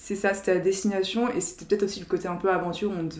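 A woman talks at a very fast pace and a medium pitch. Her intonation stays fairly even. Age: 20s. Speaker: strategy consultant. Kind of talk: casual chat.

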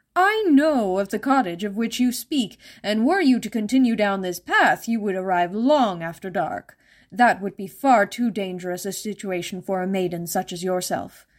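A female-sounding put-on character voice at medium pitch speaks at a moderate pace on a very clean recording with a silent background. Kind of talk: fairytale reading. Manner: falsely courteous, concerned.

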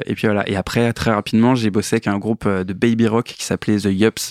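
Dry and close with no echo, a man's fairly low voice runs in monotone, flat intonation. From eastern France (Metz). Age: 30s. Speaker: musician and sound engineer. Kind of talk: casual interview. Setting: studio. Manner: hesitant, many fillers.

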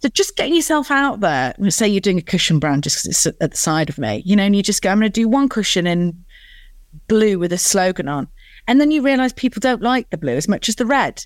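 A woman with a northern English accent speaks at a very fast pace and a medium pitch, her voice moving in very wide pitch swings on a very clean recording with a silent background. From northern England. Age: 40s. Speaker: business founder and CEO.

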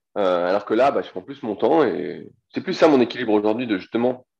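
A man's fairly low-pitched voice, moderate pace and ordinary pitch variation against a quiet background. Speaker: strength training coach. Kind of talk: interview. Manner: casual.

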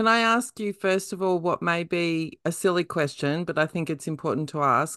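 A woman with an Australian accent, fairly low in pitch, ordinary pitch variation, moderate pace, dry close sound with no echo and a quiet background. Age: middle-aged. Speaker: podcast host. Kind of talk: interview; casual chat.

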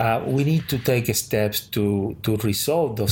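With a Spanish accent, a man speaks at a fairly low pitch. His voice is somewhat breathy. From Cuba. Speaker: sociology professor. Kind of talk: interview.

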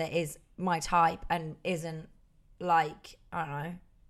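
Speaking in an East Midlands accent, a woman has a fairly low pitch. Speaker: podcast co-host. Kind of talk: casual chat.

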